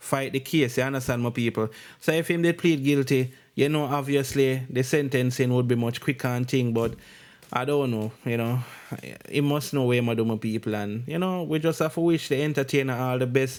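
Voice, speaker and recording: In a very clean recording with a silent background, a man with a Jamaican accent speaks fairly quickly at medium pitch, keeping his intonation fairly even. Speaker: entertainment news vlogger. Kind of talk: news commentary. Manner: casual.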